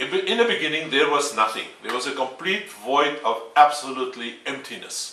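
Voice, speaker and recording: Noticeable background noise and audible room echo surround a man with a non-native accent who speaks at a fairly high pitch with lively intonation. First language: Afrikaans. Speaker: independent theorist. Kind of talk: video lecture. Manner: halting.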